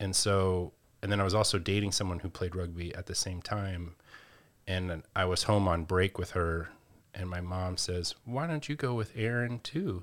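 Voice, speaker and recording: A man's very deep, low voice with an American accent, at a moderate pace with ordinary pitch variation, on a very clean recording with a silent background. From North Carolina (Asheville). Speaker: gym owner and personal trainer, former rugby player. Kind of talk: interview.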